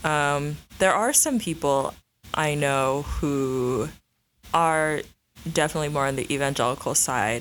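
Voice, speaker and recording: In an American accent, a woman with a very deep, low pitch speaks at a fairly slow pace, pausing long and often. Her pitch varies in an ordinary way, her loudness stays very even, and the recording is very clean with a silent background. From Illinois suburbs, US. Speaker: interviewee, recent graduate. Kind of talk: casual interview.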